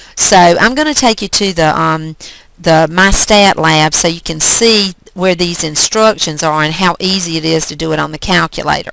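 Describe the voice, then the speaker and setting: Noticeable background noise behind a woman speaking at a fairly low pitch. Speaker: math teacher. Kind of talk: tutorial. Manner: hesitant, frequent um.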